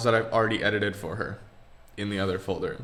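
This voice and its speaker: Someone mumbles at a fairly quick pace amid noticeable background noise. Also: man. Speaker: podcast co-host. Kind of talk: casual chat. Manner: mumbling.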